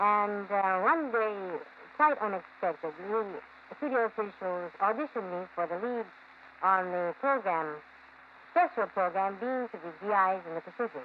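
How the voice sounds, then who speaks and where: With light background noise, a woman with an American accent talks at a moderate pace and medium pitch, her intonation lively and her pauses long and frequent. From United States. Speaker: radio announcer. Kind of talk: interview answer. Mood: relaxed, wry. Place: studio.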